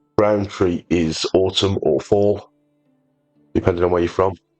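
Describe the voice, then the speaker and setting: Speaking in a Birmingham accent, a man uses a very deep, low pitch, a fairly quick pace, and fairly even intonation. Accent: Birmingham-area English. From English Midlands, near Birmingham. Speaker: gaming video creator. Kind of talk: gameplay tutorial commentary. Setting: at home on a sofa. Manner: casual, with hesitations.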